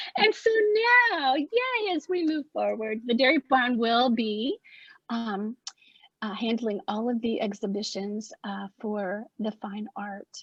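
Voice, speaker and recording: Spoken at a very slow pace with an Appalachian accent, this voice shows ordinary pitch variation. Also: woman, fairly high pitch for a woman. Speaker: arts project founder. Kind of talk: opening remarks at virtual artist talk. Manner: halting.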